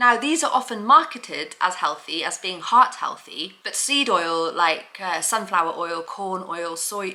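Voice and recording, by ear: A woman with a fairly low pitch and a bright, sharp tone speaks at a fairly slow pace with few pauses and ordinary pitch variation, with audible room echo around her.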